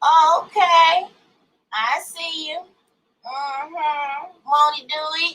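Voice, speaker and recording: Raising and projecting her voice, a woman speaks very slowly in a high, bright, sharp tone with fairly even intonation and long, frequent pauses. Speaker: YouTube livestreamer reading a book. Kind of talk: casual livestream chat before reading aloud. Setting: live stream.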